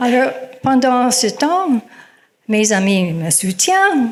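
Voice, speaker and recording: There is audible room echo as a woman speaks at a very slow pace. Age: 70s. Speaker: storyteller. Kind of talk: personal story told to audience. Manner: hesitant, with many fillers.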